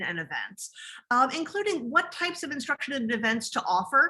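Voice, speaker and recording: A woman speaks in a high, bright and sharp voice, raised and projected. Her pitch swings very widely at a moderate pace. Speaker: academic librarian. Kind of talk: conference presentation.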